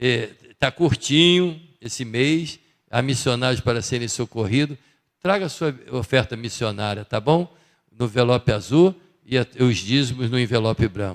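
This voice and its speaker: A man with an unremarkable speaking voice talks at medium pitch and a moderate pace, his intonation lively. The recording is very clean with a silent background, its sound dry and close with no echo. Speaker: church member giving announcements. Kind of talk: church announcements. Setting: church service. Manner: casual, conversational.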